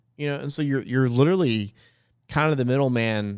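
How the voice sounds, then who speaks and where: It's a man with an American accent and a normal speaking voice, talking at a fairly quick pace with ordinary pitch variation. The recording is very clean, with a silent background. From New Jersey. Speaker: wedding DJ and podcast host. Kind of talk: casual chat.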